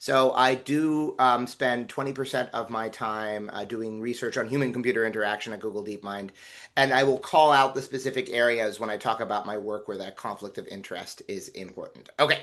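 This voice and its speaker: Over a quiet background, a man talks fairly quickly with hardly any pauses, medium pitch, fairly even intonation and big swings in loudness. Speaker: physician and AI researcher. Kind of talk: webinar lecture. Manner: fast.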